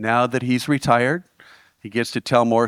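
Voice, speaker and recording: A man with an unremarkable speaking voice talks at a medium pitch and moderate pace, recorded dry and close with no echo. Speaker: event host. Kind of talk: stage introduction.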